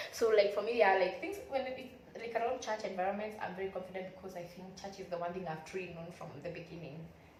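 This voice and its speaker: A woman talks very fast at medium pitch with ordinary pitch variation and big swings in loudness. Audible room echo and noticeable background noise surround her. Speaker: YouTuber. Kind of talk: motivational vlog talk.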